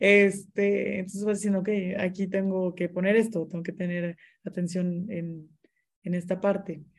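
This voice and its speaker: Somewhat breathy and at medium pitch, a woman speaks at a fairly slow pace with monotone, flat intonation. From Mexico, Monterrey. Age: 20s. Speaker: interior designer and business owner. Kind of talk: casual interview chat.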